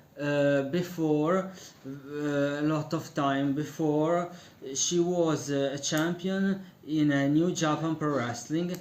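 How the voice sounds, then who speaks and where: Speaking very slowly with a non-native accent, a man of fairly high pitch keeps fairly even intonation and very even loudness. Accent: non-native English speaker. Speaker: wrestling commentator. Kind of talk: casual online radio-style commentary. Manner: hesitant, many fillers.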